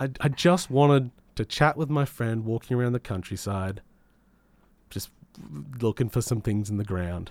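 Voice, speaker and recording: In a very clean recording with a silent background, a man with an Australian accent and medium pitch speaks at a moderate pace with ordinary pitch variation and long, frequent pauses. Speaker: community radio gaming show host. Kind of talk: casual chat and game reviews. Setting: radio studio.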